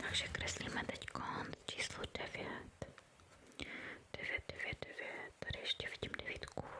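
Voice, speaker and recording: Whispering at a very slow pace, a woman speaks over noticeable background noise. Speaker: ASMR creator. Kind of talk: ASMR painting video. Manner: whispered.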